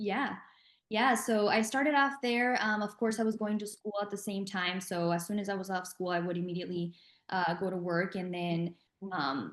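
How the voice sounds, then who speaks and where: Speaking at a moderate pace with a Spanish accent, a woman uses a medium pitch with ordinary pitch variation. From Mexico. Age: 20s. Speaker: entrepreneur. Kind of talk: interview.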